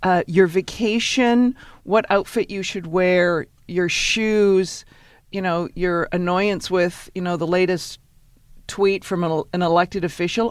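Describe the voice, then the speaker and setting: Over a silent background in a very clean recording, a woman uses an ordinary speaking voice at medium pitch, with fairly even intonation and a fairly slow pace. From Canada, Victoria, British Columbia. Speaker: networking expert and author, former lawyer. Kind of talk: interview.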